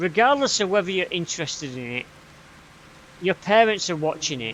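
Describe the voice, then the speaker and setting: A man with a Yorkshire accent talks at a fairly quick pace with lively intonation. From Yorkshire, northern England. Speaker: gaming streamer. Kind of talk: casual live stream chat. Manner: halting, with fillers and repeats.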